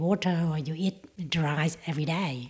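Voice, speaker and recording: A woman's voice comes across somewhat breathy, with a dark, mellow tone. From Vietnam, Chinese background. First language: Vietnamese. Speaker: school worker. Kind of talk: interview.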